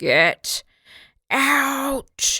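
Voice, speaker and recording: It's a put-on character voice with a raspy quality. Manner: menacing, shouting.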